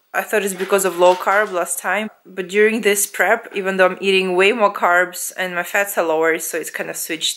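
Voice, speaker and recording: A woman speaks with a Russian accent at a moderate pace. Her intonation stays flat and monotone. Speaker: fitness vlogger. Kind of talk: casual vlog talk to camera. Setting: at home lying on sofa.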